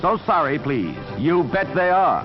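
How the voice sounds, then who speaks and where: A man's speech shows ordinary pitch variation, with music playing behind him. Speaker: newsreel narrator. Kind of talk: newsreel narration.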